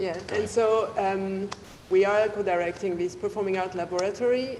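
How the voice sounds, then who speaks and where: A woman with a French accent, medium pitch and fairly even intonation at a moderate pace, amid noticeable background noise. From France. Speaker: dancer and choreographer. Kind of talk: panel discussion. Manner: halting.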